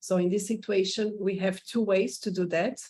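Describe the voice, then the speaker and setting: Medium pitch from a woman, fairly even intonation and a moderate pace. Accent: Portuguese. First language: Portuguese. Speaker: immigration consultant. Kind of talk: informational presentation. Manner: halting.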